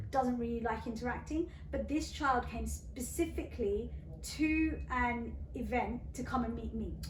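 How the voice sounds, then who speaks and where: A woman with a British accent speaks fairly slowly, with audible room echo and noticeable background noise. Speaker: radio presenter. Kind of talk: interview. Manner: animated.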